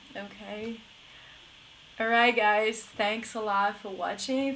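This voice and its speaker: Amid noticeable background noise and audible room echo, a woman with an American accent speaks fairly slowly at a medium pitch. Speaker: English teacher. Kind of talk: live stream lesson. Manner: casual, filler-heavy.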